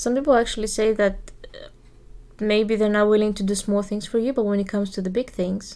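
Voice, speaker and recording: A woman speaks very fast with a Greek accent and fairly high pitch. Her tone is dark and mellow, her intonation fairly even, with big swings in loudness. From Greece. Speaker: podcast co-host. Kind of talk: casual chat.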